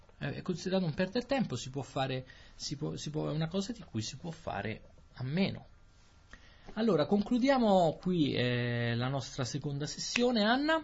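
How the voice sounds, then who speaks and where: Pausing long and often, a man speaks at a moderate pace with very wide pitch swings. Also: fairly high pitch for a man. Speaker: Italian language podcast host. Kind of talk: casual conversation for language learners.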